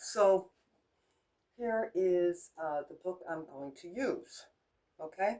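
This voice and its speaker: A woman with an American accent speaks at medium pitch in a dark, mellow tone with ordinary pitch variation. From United States. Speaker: crafts vlogger. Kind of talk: casual tutorial. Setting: home kitchenette. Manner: unscripted, chatty.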